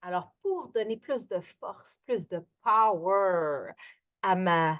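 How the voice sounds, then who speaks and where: A woman speaks with lively intonation. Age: 60s. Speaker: yoga instructor. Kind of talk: guided yoga class. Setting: at home, evening. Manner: animated; lowering her voice, gentle.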